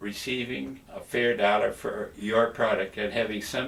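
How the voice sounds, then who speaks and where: There is noticeable background noise here. Through it, a man speaks at a moderate pace. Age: 80s+. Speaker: retired politician, former agriculture minister. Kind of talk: speech to a dinner gala, by video. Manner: frank, opinionated.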